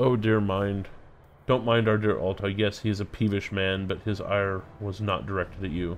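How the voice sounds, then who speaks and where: In a booming, put-on character voice, a man speaks at a fairly low pitch and moderate pace with fairly even intonation. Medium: game stream. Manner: hearty, jovial.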